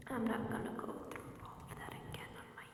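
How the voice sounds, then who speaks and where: Someone is whispering over noticeable background noise. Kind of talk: ASMR horror story reading. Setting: rain sounds in background. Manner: whispered, soft-spoken.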